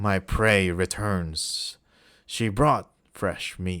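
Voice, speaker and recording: A man growls in a put-on character voice, very deep and low in pitch, at a very slow pace. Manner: growling, menacing.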